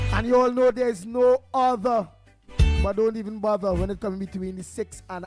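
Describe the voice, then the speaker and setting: A man speaks loudly at a moderate pace. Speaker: morning radio show host. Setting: radio studio. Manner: loud, barking on-air style.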